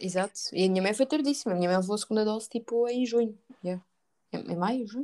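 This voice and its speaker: A woman talks at a very fast pace in a fairly high voice with a dark, mellow tone and ordinary pitch variation. The sound is dry and close, with no echo. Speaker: podcast host. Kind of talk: casual chat.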